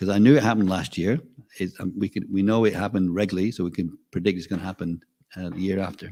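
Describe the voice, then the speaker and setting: A man with a fairly low pitch and a dark, mellow tone speaks at a very fast pace. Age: 60s. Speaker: class speaker. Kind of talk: religious class. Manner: casual, halting.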